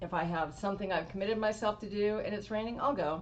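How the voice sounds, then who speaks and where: In a room with audible echo, a woman with an American accent speaks at a fairly quick pace and medium pitch, her pitch varying in an ordinary way. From Washington State. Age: 60s. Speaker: motorcycle rider. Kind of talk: interview.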